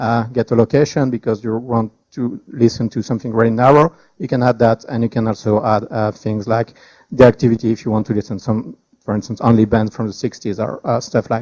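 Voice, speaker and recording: A man speaks with a French accent and a dark, mellow tone. The sound is dry and close, with no echo. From France. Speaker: startup founder. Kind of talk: tech presentation. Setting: meetup with live audience. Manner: hesitant, with fillers.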